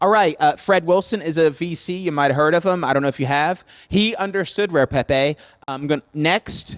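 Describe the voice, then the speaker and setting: This man has an unremarkable speaking voice, pitched fairly high with ordinary variation, at a moderate pace in a dry, close sound with no echo. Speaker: conference speaker on crypto art. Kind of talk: conference talk with slides. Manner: casual, filler-heavy.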